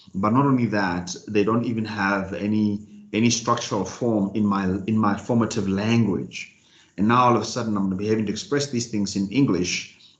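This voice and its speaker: With audible room echo, a man with a fairly low voice talks at a fairly quick pace using fairly even intonation. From South Africa, Free State. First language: Sesotho. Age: 30s. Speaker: motivational speaker and executive coach. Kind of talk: talk to online business group. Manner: fast, about 150 words per minute.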